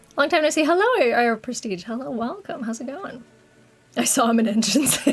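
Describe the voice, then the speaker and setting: Through noticeable background noise, a woman speaks at a fairly quick pace with a high pitch and lively intonation. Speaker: streamer. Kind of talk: casual chat. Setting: livestream. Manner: fast; stumbling over words.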